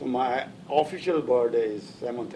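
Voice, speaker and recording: Over noticeable background noise, a man speaks at medium pitch with lively intonation. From northern India (Lahore, then Delhi). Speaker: immigrant interviewee. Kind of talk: oral history interview. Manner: halting, many fillers.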